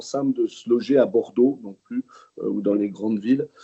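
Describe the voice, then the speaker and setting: A man is speaking. He has a slight Jura accent. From France, Jura. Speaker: regional politician. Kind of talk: webinar presentation. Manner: halting, many hesitations.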